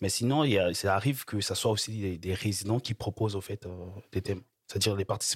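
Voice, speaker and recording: A somewhat breathy man with a fairly low pitch speaks at a very fast pace with fairly even intonation, in a dry, close sound with no echo. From Republic of the Congo. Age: 20s. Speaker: student. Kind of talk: interview. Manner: halting.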